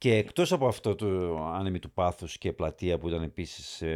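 On a very clean recording with a silent background and a dry, close sound without echo, a man speaks at a moderate pace. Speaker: podcast host. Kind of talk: interview.

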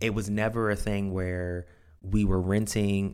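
The very clean recording, with a silent background, captures a man with a fairly low voice. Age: 20s. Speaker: podcast host and real estate agent. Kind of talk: solo podcast monologue. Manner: enthusiastic, upbeat.

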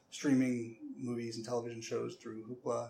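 Talking at a very fast pace with an American accent, a man is heard over noticeable background noise. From US Midwest, Cleveland suburbs, Ohio. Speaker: public library director. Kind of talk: podcast interview. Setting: library branch. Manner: halting, many fillers and repeats.

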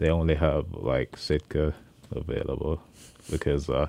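A man's very deep, low-pitched voice with vocal fry. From Jamaica, Kingston. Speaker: chef. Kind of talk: interview. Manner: hesitant, many fillers.

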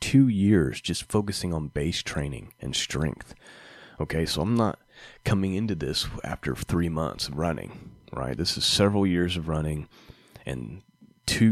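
A man with a very deep, low pitch speaks at a fairly slow pace. His intonation is lively. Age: 30s. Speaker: podcast host, amateur runner. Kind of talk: solo podcast monologue. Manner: casual, with frequent fillers.

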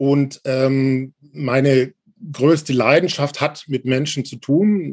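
The speaker is a man with a fairly high voice. His pitch varies in an ordinary way. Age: 40s. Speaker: journalist and organizational change consultant. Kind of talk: interview.

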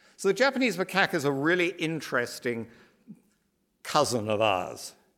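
A man speaks with a British accent. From British Isles. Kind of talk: lecture. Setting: stage with audience.

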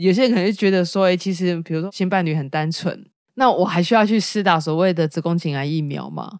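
A woman talks at a very fast pace in a fairly low voice. Her pitch varies in an ordinary way. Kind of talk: casual solo monologue. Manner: sleepy-sounding.

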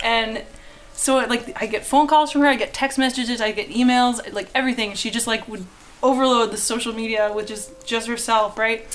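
A woman speaks in an ordinary speaking voice with a Canadian accent, her pitch fairly high. Her intonation stays fairly even and her pace is fairly quick. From Canada. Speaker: artist. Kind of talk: casual chat.

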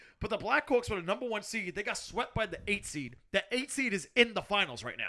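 A man's raised, projected voice with a bright, sharp tone at a very fast pace, in a very clean recording with a silent background. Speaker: podcast host. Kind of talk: casual banter podcast.

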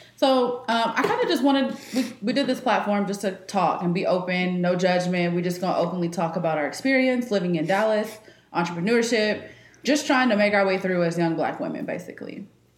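A woman talking at a fairly quick pace with lively intonation, with audible room echo and noticeable background noise. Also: medium pitch for a woman. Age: 20s. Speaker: podcast co-host. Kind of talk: casual chat.

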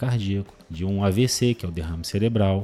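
A man's fairly low voice with a dark, mellow tone and ordinary pitch variation. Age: 40s. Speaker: cardiologist. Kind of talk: interview. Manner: halting.

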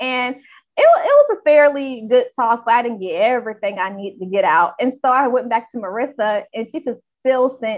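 With lively intonation, an unremarkable speaking voice keeps a moderate pace. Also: woman. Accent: American. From North Carolina, US South. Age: 20s. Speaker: health reporter. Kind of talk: casual chat.

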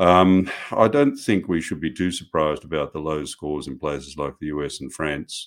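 This man has a very deep, low voice and an Australian accent. The recording is very clean, with a silent background. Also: fairly even intonation, moderate pace. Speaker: professor. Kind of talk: interview. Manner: hesitant, many fillers.

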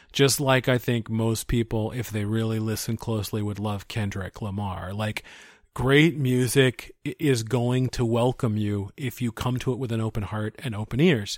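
A man with an American accent, a normal speaking voice, medium pitch, fairly even intonation and moderate pace, on a very clean recording with a silent background. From US Pacific Northwest (Seattle area). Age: 40s. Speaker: composer and conductor. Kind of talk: interview conversation.

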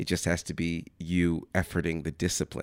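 In an American accent, a man with a very deep, low voice comes through with a dry, close sound with no echo on a very clean recording with a silent background. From US Midwest, Kansas City suburbs. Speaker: actor. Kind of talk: casual chat.

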